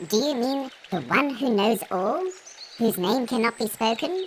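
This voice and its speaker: A put-on character voice with a fairly high pitch goes at a moderate pace over clear background noise. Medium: audio drama. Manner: excited, fervent.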